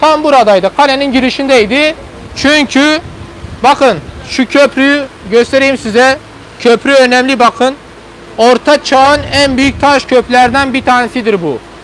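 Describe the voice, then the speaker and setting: Loud speech comes at a fairly slow pace over noticeable background noise. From Turkey, Hasankeyf (southeastern Turkey). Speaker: tour guide. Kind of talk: guided tour commentary. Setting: outdoors on a boat, live stream.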